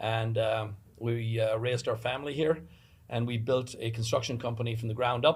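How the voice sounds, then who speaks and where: Somewhat breathy, a man speaks at medium pitch and a moderate pace, his intonation fairly even. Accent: Irish. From Ireland. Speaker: construction business owner, election candidate. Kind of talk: panel discussion, candidate introduction. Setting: studio. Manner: frequent fillers.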